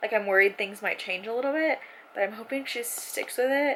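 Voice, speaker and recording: The voice is loud. Its tone is bright and sharp. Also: woman. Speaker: book vlogger. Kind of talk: casual vlog. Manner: animated.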